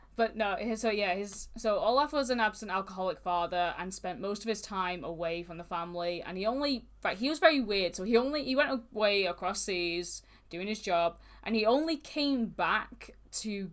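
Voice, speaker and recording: On a very clean recording with a silent background, a woman with a northern English accent speaks at a moderate pace and medium pitch, using lively intonation. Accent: mild northern English. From northern England (Manchester). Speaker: true crime podcast co-host. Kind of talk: casual podcast chat, recounting case.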